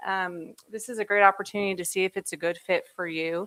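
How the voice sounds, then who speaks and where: The speaker is a woman. The recording is very clean, with a silent background. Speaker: grant administrator. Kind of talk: public presentation. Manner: loud.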